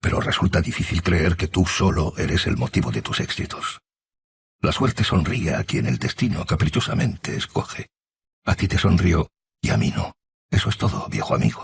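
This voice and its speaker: A quiet, put-on character voice from a man, very deep and low, swinging very widely in pitch at a moderate pace. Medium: read story. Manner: quiet, subdued.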